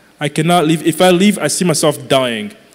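Over noticeable background noise, a man speaks at a high pitch and a moderate pace with ordinary pitch variation. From Congo. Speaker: young adult pastor. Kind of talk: live church panel discussion. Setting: stage with audience.

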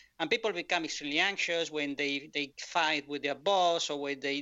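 A man speaks with a Spanish accent at a moderate pace. His voice is fairly high, and his intonation is fairly even. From Spain. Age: 50s. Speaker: author. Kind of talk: interview. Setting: video call. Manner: halting.

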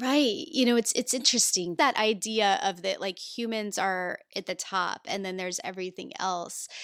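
Speaking with hardly any pauses, a woman of medium pitch with a Midwestern American accent uses lively intonation on a very clean recording with a silent background. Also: moderate pace. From rural Indiana, US Midwest. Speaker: environmental activist and podcaster. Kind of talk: interview conversation.

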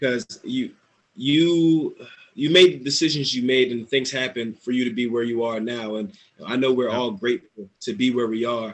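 A man with an American accent speaks at a moderate pace and medium pitch. He has a normal speaking voice with ordinary pitch variation. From New Jersey. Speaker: import football player. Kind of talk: casual interview.

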